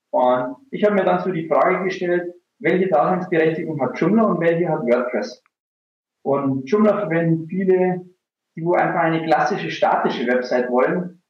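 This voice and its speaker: Speaking at a moderate pace, a man uses ordinary pitch variation in a high voice. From rural Bavaria, Germany. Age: 30s. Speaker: online marketing entrepreneur. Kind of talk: casual interview.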